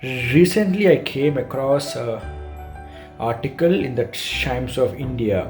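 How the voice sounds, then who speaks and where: The pace is very slow. Music plays in the background. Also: man. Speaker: software engineer. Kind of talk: awareness message to camera.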